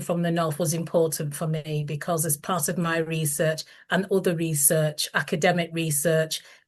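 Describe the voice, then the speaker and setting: Somewhat breathy speech in a Lancashire accent moves at a moderate pace over a quiet background. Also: woman. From northern England, Lancashire. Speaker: author. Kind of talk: reading aloud. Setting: video call. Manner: formal.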